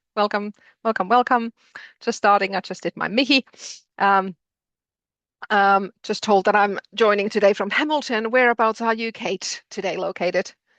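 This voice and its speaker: A woman with a strong Finnish accent speaks at a moderate pace and medium pitch, pausing long and often. Her intonation is fairly even, and the sound is dry and close with no echo against a quiet background. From Finland. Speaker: postgraduate programme director. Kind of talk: interactive webinar. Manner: hesitant, many fillers.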